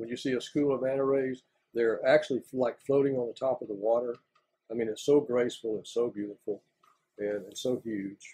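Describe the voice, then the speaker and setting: A man speaks with a Southern US accent. His tone is dark and mellow. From Florida. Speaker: retired lumber industry worker. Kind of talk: oral history interview answer.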